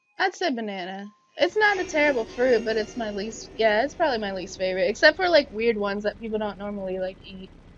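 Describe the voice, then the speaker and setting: With music in the background, a woman speaks at a very fast pace in a fairly high pitch, her voice showing very wide pitch swings and big swings in loudness. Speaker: gaming streamer. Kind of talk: live gameplay commentary with chat. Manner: usually not loud.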